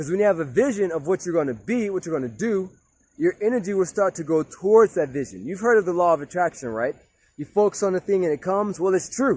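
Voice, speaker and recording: A man speaks loudly at a very fast pace with a high pitch. His tone is animated and his intonation lively. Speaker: motivational speaker. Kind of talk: motivational talk. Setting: outdoors.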